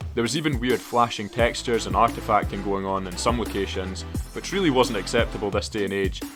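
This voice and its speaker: A man with a Scottish accent, fairly low in pitch, with very wide pitch swings at a fairly quick pace, and music in the background. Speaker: gaming YouTuber. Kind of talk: casual talk to camera, game commentary.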